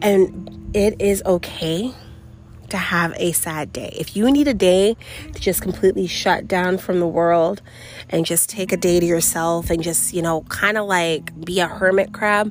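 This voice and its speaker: Over noticeable background noise, a woman of medium pitch with an American accent speaks at a fairly slow pace with ordinary pitch variation. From New York City. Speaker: podcast host. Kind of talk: personal monologue. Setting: outdoors.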